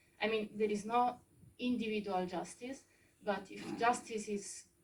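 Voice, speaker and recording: With an Italian accent, a woman speaks at a moderate pace in a somewhat breathy voice of medium pitch. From Italy. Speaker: audience member. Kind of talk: audience question. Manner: halting.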